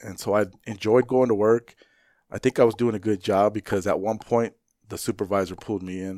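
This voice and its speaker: In a very clean recording with a silent background and a dry, close sound with no echo, a man uses a normal speaking voice at a fairly low pitch with ordinary pitch variation. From Phoenix, Arizona (west side, Maryvale). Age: 40s. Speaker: fire captain. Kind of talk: casual interview chat.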